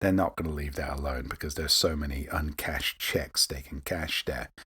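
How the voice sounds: A man speaks at an extremely low pitch and a moderate pace with fairly even intonation. His tone is bright and sharp, with a husky, rough edge.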